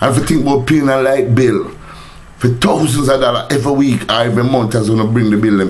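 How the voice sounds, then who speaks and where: Very fast speech comes from a man at medium pitch with ordinary pitch variation. Room echo is audible, and background noise is noticeable. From Jamaica. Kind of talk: rant / vlog. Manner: animated.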